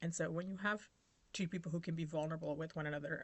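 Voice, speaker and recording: Fairly low in pitch with fairly even intonation, a woman talks in an unremarkable speaking voice. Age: 40s. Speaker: YouTuber on healing and trauma. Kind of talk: casual vlog monologue. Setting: at home over breakfast.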